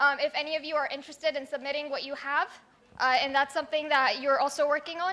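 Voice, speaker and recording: Raising and projecting her voice, a woman speaks at a high pitch in a bright, sharp tone. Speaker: startup business advisor. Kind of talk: presentation. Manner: fast.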